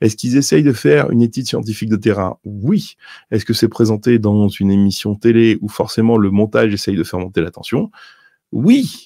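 This man's voice has a dark, mellow tone and a fairly low pitch, with ordinary pitch variation. He speaks at a fairly quick pace, the sound dry with no echo against a quiet background. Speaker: news and UFO video host; news, UFO video host. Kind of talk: solo commentary on documents. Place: home room. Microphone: studio mic.

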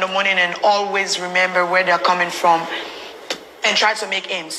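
A woman is speaking. There is light background noise behind her. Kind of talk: interview answer. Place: booth.

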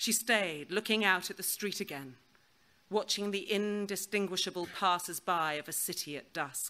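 Someone reads text aloud in a plain way. Their pitch moves by a normal amount.

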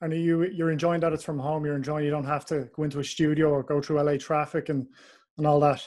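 A man with an Irish accent at a very fast pace, fairly high in pitch, monotone and flat in intonation, against a quiet background. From Ireland. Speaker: podcast host. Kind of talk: casual interview.

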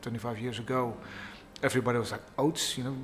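There is light background noise. A man speaks at a very fast pace. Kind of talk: interview answer. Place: bar.

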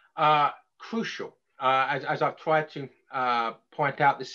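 A bright, sharp tone in an English accent comes through against a quiet background. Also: man. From England. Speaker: author and lecturer; lecturer. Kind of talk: lecture. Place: home room. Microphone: webcam.

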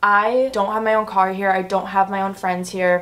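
A woman at a fairly quick pace, with faint music in the background. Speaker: vlogger. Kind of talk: casual vlog chat. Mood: chatty, slightly emotional. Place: home room. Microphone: camera far.

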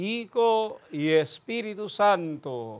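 A man's high-pitched voice, slow in pace, with big pitch swings

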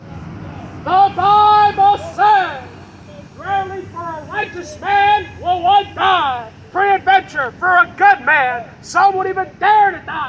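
Over crowd noise in the background, a man talks at a very slow pace. His loudness swings widely, while his pitch varies in an ordinary way. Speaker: street preacher. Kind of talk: sermon. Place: street.

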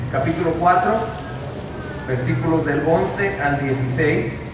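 A man speaks at a fairly slow pace and a fairly high pitch, with ordinary pitch variation. Audible room echo and clear background noise surround his voice.

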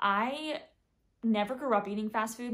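Ordinary pitch variation marks a woman speaking at a moderate pace with an American accent. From US South, Atlanta suburbs. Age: 20s. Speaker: lifestyle YouTuber. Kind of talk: casual vlog chat. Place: home room. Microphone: phone near.

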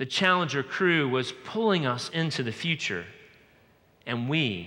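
With an American accent, a man speaks at a fairly slow pace. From US South, Georgia. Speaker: pastor. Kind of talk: sermon. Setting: church. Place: church. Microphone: headset.

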